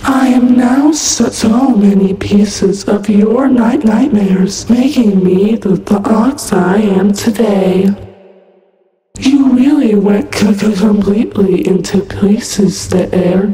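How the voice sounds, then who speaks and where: A woman performs a put-on character voice at medium pitch and a very slow pace. There is strong echo on the sound. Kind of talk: fan voice acting, horror game lines. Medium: solo performance. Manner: sweetly menacing, playful then sinister.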